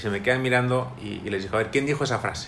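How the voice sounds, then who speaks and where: A man rushes along at a very fast pace with fairly even intonation, his voice carrying audible room echo. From Spain, Madrid. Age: 30s. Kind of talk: interview. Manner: halting, with repetitions.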